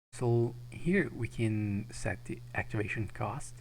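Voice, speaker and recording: A man with a non-native accent speaks amid audible room echo. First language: not English. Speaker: game modding tutorial maker. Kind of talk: tutorial. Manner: halting.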